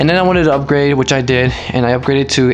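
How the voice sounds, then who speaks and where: A man at medium pitch and a very fast pace, with music in the background. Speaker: amateur photographer YouTuber. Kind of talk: casual Q&A vlog. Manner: hesitant, fillers and restarts.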